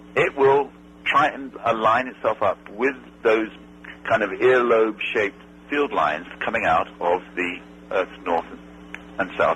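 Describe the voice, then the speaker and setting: A man with an English accent speaks at a fairly slow pace. Noticeable background noise can be heard. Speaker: astronaut. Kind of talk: interview answer.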